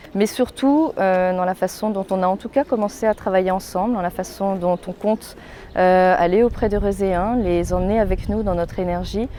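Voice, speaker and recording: Noticeable background noise runs behind this woman's voice. She speaks at medium pitch with ordinary pitch variation. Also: moderate pace. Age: 30s. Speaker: local political candidate. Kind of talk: campaign statement. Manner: hesitant, many fillers.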